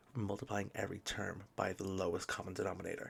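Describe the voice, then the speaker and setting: A soft-spoken man talks. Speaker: maths tutor. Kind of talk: tutorial. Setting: home recording at midnight.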